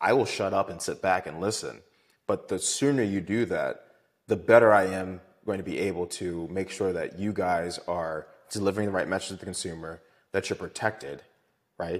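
A man with an American accent speaks in a very deep, low pitch with fairly even intonation. He keeps a moderate pace in a very clean recording with a silent background. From Maryland, Baltimore. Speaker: lawyer. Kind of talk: casual interview chat.

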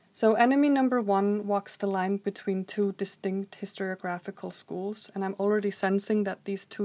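A woman's medium-pitched voice with an Icelandic accent, dark and mellow in tone, with fairly even intonation, in a very clean, dry, close recording with a silent background and no echo. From Iceland, Reykjavik. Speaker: historian and author. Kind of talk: scripted narration. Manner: formal.

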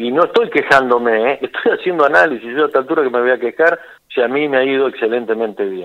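Very fast delivery from a man at medium pitch, with ordinary pitch variation. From Buenos Aires province, Argentina. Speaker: businessman and farmer. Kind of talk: interview. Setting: phone call.

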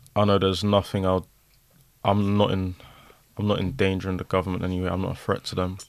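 A man talks at a very fast pace in a very deep, low voice with monotone, flat intonation. Long pauses come often. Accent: London. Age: young. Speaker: social media personality. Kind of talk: casual chat.

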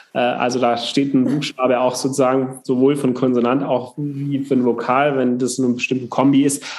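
Over noticeable background noise, a man speaks at a moderate pace with hardly any pauses and very even loudness. His medium-pitched voice has monotone, flat intonation. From southern Germany, Upper Swabia. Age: 30s. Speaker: politician. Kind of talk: casual interview.

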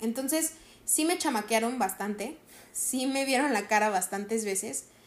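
A woman is speaking. Her intonation is lively. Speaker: podcast host, actress and voice actor. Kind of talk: casual solo monologue.

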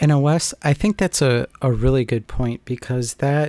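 A plain, everyday voice from a man, fairly slow with ordinary pitch variation, in a very clean recording with a silent background and a dry, close sound with no echo. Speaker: podcast host. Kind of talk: casual podcast conversation.

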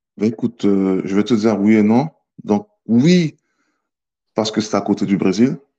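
The voice has a dark, mellow tone and ordinary pitch variation, moving at a fairly slow pace with long, frequent pauses. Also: man, fairly low pitch for a man. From French Guiana. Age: 30s. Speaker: army fitness instructor. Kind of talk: casual interview. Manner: calm, not loud; hesitant, many fillers.

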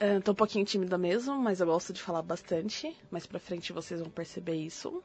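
A woman of medium pitch talks fairly quickly in an ordinary speaking voice, with ordinary pitch variation and hardly any pauses. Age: 30s. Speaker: podcast co-host. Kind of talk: casual chat.

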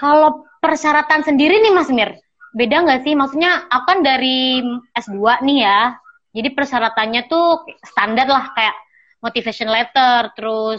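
Fairly slow speech from a woman, pitched high. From Sampang, Madura, Indonesia. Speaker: podcast host, master's student. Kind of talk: casual interview. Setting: remote call.

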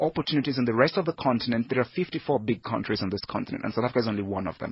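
A man's somewhat breathy voice moves with lively intonation. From Nigeria. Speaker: head of recruitment at a leadership school. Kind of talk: radio interview.

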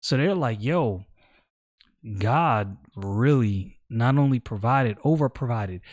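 A man with a normal speaking voice and an American accent, medium pitch, lively intonation, a fairly slow pace and very even loudness, on a very clean recording with a silent background. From New York City (Brooklyn). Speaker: Bible teacher podcaster. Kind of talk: casual Bible study talk. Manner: conversational with slang.

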